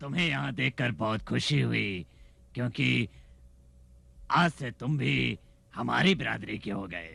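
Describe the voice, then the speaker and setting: Putting on a raspy character voice, a man talks at a fairly slow pace and a fairly low pitch, with very wide pitch swings and long, frequent pauses. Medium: fan dub. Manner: menacing, mocking.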